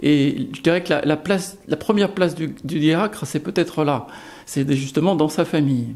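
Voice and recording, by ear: A man's slightly mellow voice at a moderate pace with ordinary pitch variation. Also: fairly high pitch for a man.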